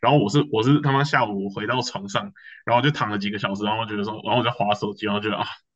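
Against a quiet background, a man speaks very fast at a fairly low pitch, his intonation fairly even. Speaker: student podcast co-host. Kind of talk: casual chat.

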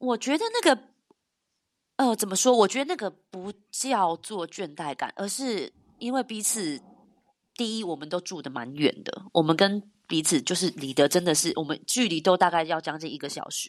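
A woman speaks with big swings in loudness and very wide pitch swings. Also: medium pitch for a woman, moderate pace. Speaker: YouTuber. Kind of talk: casual chat.

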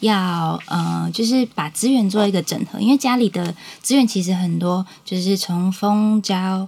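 A woman speaks at a moderate pace with a medium pitch and ordinary pitch variation. It is an ordinary speaking voice. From Taiwan, Changhua (Huatan). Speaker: small business owner, beekeeping family. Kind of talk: interview.

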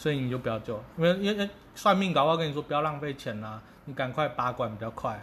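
A man with a fairly high voice talks very fast, his intonation lively. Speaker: podcast co-host. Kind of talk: casual chat.

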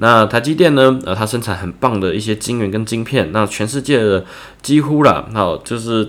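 This man has an unremarkable speaking voice, pitched fairly low. His intonation is lively. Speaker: writing tutor for students. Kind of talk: tutorial. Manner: casual, with many filler words.

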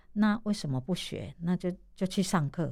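A woman with a dark, mellow tone and fairly low pitch talks at a moderate pace with lively intonation, on a very clean recording with a silent background. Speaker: massage therapist and street performer. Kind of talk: radio interview, casual.

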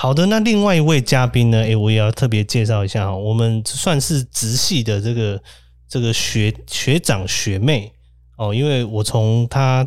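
This man's voice sits at medium pitch. He moves at a moderate pace with ordinary pitch variation. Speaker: podcast host, social worker. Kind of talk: casual chat. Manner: animated, frequent laughter.

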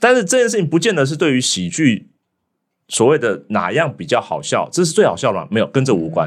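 Vocal fry and very wide pitch swings mark this fairly quick speech, captured on a very clean recording with a silent background. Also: man, fairly high pitch for a man. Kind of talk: casual chat.

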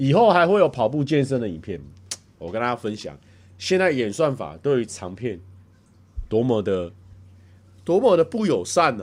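In a Taiwanese accent, a man speaks at a moderate pace with a medium pitch, vocal fry and an animated tone. His pitch swings very widely, his loudness shifts a lot, and long pauses come often. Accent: Taiwanese Mandarin. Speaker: livestreamer. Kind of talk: casual livestream chat reading viewer comments. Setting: home livestream.

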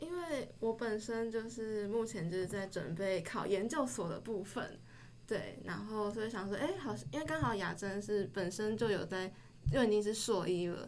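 At a moderate pace, a woman uses a normal speaking voice at medium pitch. Her intonation is lively. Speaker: university student. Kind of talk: casual chat.

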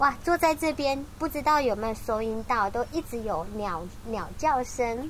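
A high-pitched woman in a Taiwanese accent, fairly slow yet with hardly any pauses and lively intonation. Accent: Taiwanese Mandarin. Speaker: radio host. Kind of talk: casual interview. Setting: on location at a community care station.

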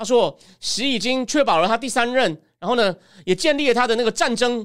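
At a fairly quick pace, a man speaks with an extremely high pitch in a very clean recording with a silent background. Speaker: political commentator. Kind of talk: livestream political analysis. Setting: solo livestream. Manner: conversational, many fillers.

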